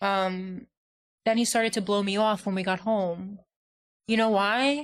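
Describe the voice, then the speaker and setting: This is a very clean recording with a silent background. A woman with a New York accent talks at a fairly slow pace. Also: medium pitch for a woman. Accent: Staten Island. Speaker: podcast co-host. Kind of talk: casual chat. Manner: animated.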